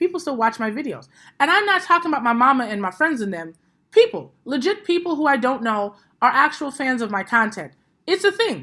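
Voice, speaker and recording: A high-pitched woman's raised, projected voice, bright and sharp, animated, with very wide pitch swings at a fairly quick pace, on a very clean recording with a silent background. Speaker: podcast host and social media coach. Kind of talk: casual podcast talk.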